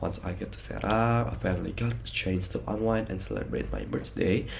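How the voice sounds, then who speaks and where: A man speaks with an Indonesian accent and very wide pitch swings. Audible room echo surrounds his voice. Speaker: university student. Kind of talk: personal vlog narration.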